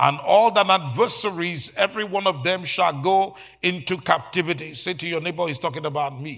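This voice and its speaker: This man talks at a fairly quick clip with hardly any pauses. His voice sits high, with ordinary pitch variation. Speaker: pastor. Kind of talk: sermon. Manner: animated; fervent, rhythmic preaching with call-and-response.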